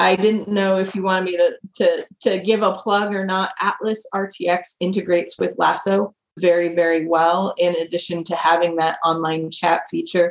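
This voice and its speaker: A woman talks at a moderate pace in a normal speaking voice. Her pitch is fairly low and her intonation fairly even. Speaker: CRM consultant. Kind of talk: panel discussion.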